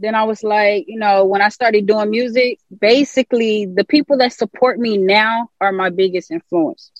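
A woman with an unremarkable speaking voice, fairly high pitch and ordinary pitch variation, moderate pace with hardly any pauses, dry, close sound with no echo. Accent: American. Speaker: musician. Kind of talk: casual interview.

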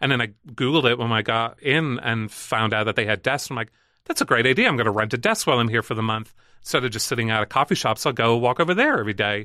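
A man talks at a very fast pace with ordinary pitch variation. His tone is bright and sharp, and the background is quiet. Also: medium pitch for a man. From Northern Ireland, Belfast. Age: 30s. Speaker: event producer and brewery founder. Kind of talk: casual chat. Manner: animated.

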